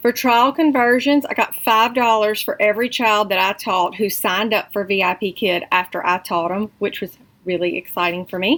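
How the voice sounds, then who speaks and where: Speaking with a Southern US accent, this woman's voice rests at a medium pitch. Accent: Southern drawl. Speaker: online English tutor and vlogger. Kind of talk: casual vlog update. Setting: at home. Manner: animated.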